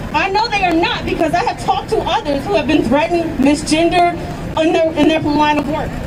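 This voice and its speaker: A woman's extremely high voice with an American accent, fairly quick, very even in loudness, with ordinary pitch variation, noticeable background noise and audible room echo. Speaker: educator and student speaking at a rally. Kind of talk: rally speech. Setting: outdoors at a protest march. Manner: impassioned.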